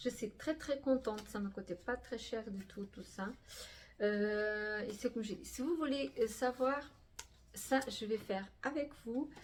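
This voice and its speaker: A woman speaks at a very slow pace in a fairly high, somewhat breathy voice. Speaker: crafting youtuber. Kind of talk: casual vlog talk. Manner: halting, many fillers.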